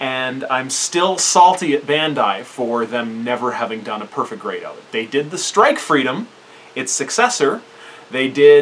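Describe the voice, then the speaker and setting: A man talks at a fairly slow pace with lively intonation. His loudness swings widely. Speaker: hobby reviewer. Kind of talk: casual vlog commentary. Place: home room. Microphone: camera far.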